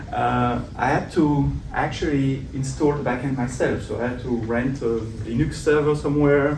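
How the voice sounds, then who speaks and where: With a slight French accent, a man speaks at a medium pitch and a moderate pace in monotone, flat intonation, with audible room echo and noticeable background noise. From Belgium. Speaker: tech conference speaker. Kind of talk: tech talk. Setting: meetup stage with audience.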